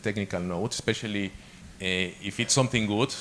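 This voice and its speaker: Delivery is fairly quick and monotone, with flat intonation. A man with a Spanish accent speaks at a fairly low pitch. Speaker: guest lecturer on academic publishing. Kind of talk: lecture. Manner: halting, frequent repetitions and fillers.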